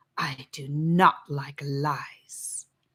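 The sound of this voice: A woman's put-on character voice, low-pitched with a slightly husky edge and a fairly bright tone, fairly even in intonation and very slow in pace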